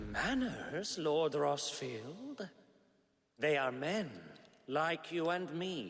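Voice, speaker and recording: Putting on a character voice, a man speaks at a fairly high pitch. His pace is very slow, with long, frequent pauses. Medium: video game. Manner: silky, mocking politeness.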